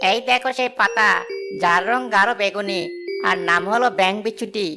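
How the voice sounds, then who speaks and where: A cartoonish character voice that sounds female speaks at a moderate pace over faint music in the background. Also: medium pitch for a woman. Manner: courteous, respectful.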